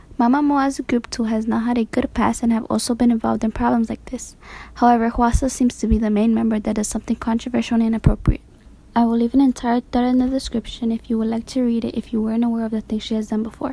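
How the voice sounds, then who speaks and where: Speaking very fast with a non-native accent, a woman with a fairly high pitch and a dark, mellow tone keeps a flat, monotone intonation. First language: not English. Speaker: YouTuber, K-pop commentator. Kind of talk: voiceover commentary.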